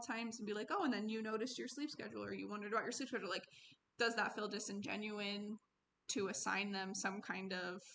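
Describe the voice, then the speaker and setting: Her voice is bright and sharp with vocal fry, as a woman speaks at medium pitch and a fairly quick pace with ordinary pitch variation. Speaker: social work student. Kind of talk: self-reflective critique. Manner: fast; stumbling over words.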